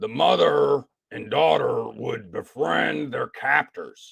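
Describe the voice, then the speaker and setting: The man speaks fairly slowly in a raspy, put-on character voice. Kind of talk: narration of a story pitch. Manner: dramatic, conspiratorial.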